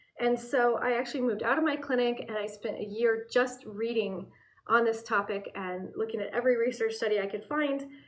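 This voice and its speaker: Fairly quick speech from a woman in an American accent, fairly high in pitch with ordinary pitch variation, over noticeable background noise. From US Pacific Northwest, Portland, Oregon. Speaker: herbalist and aromatherapy educator. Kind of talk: channel introduction monologue. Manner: casual, with fillers.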